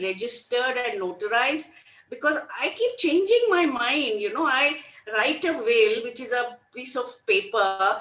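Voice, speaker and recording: Noticeable background noise sits behind a woman whose high pitch moves in lively intonation at a fairly slow pace. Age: 70s. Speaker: webinar attendee. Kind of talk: Q&A question. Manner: hesitant, many fillers.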